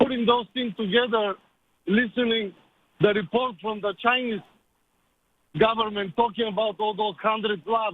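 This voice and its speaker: A man with a Bulgarian accent speaks at a high pitch with fairly even intonation. His speech has long, frequent pauses. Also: moderate pace. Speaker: caller. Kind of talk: radio call-in.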